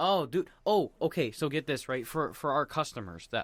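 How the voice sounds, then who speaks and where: The recording is very clean with a silent background, and the voice has vocal fry and a dry, close sound with no echo. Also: man. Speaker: podcast host. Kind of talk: casual chat. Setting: at a friend's home. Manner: loud.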